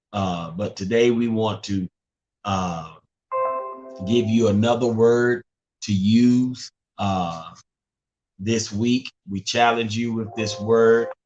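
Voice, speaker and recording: With music in the background, a man with an American accent speaks at a very slow pace, leaving long, frequent pauses. His intonation is fairly even. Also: medium pitch for a man. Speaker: pastor. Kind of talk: devotional talk. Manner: halting.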